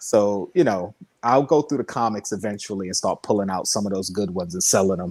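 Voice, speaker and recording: A man in a plain, everyday voice at a fairly quick pace. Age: 40s. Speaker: YouTuber and toy collector. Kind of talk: casual chat.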